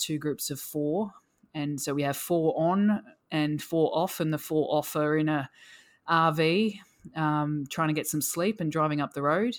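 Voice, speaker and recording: A woman's very deep, low voice with an Australian accent, on a very clean recording with a silent background. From rural Australia (Victoria). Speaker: endurance cyclist with type 1 diabetes. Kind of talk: casual interview.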